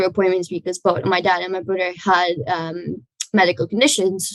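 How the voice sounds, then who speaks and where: A woman with a non-native accent speaks at a moderate pace with vocal fry and fairly even intonation. The sound is dry and close, with no echo. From outside Ireland, non-English-speaking country. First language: not English. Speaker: young entrepreneur. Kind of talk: video testimony.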